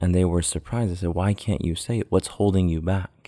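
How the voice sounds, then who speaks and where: A soft-spoken man talks with a very deep, low pitch and a dark, mellow tone. The recording is very clean, with a silent background. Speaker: religious podcast host. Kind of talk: spiritual teaching talk. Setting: home recording at night.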